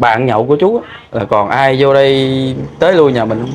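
A man speaks in a Southern Vietnamese accent. His pace is moderate and his pitch variation ordinary. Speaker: vlogger; interviewee. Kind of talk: field interview. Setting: outdoors. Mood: subdued, sad. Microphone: lapel.

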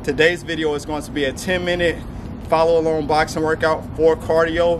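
Background noise is noticeable. A man speaks with monotone, flat intonation. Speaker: boxing fitness coach. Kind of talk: fitness video intro. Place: street.

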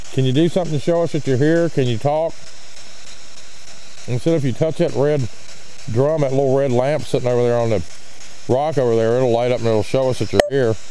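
Light background noise sits under speech at a fairly quick pace. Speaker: ghost hunter. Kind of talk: casual chat then spirit-box style calling. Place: forest. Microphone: phone near.

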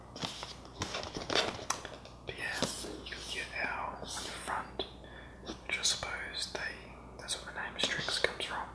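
Whispering at a very slow pace. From Australia. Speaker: hobbyist unboxer. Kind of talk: ASMR unboxing. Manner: soft-spoken. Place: home room.

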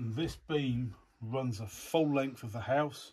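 Talking at a slow pace, a man with a medium pitch shows ordinary pitch variation, a slightly mellow tone and a slightly husky edge.

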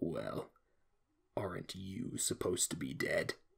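A man whispers at a fairly slow pace. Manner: calm, sinister, mocking.

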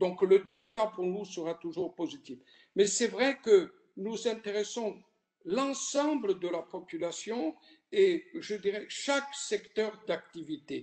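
Against a quiet background, the speaker moves at a very slow pace. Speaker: rural research program leader. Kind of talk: interview answer. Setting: online video conference. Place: home room. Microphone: video call.

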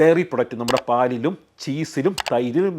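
A man with a normal speaking voice talks at a fairly high pitch, with ordinary pitch variation. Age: 40s. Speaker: doctor. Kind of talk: health explainer to camera.

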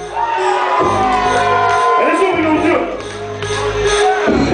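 A man speaks with audible room echo. Clear music plays in the background. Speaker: club MC. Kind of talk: hype introduction. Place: bar. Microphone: pa.

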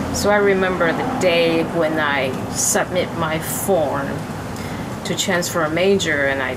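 A woman's fairly low-pitched voice with lively intonation over loud background noise. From Taiwan. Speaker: jazz pianist; interviewee. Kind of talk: interview. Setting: outdoors. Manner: halting. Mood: calm, reflective. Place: garden. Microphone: camera far.

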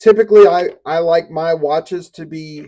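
At a very slow pace, a man with a dark, mellow tone speaks with fairly even intonation. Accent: Southern US. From US South. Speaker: YouTuber reviewing gear. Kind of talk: product unboxing and review. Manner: casual and conversational.

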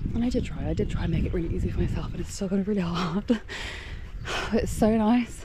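A woman speaks over noticeable background noise. The sound is dry, with no echo. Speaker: vlogger cycling commuter. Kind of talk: casual vlog chat. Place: bicycle. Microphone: phone near.

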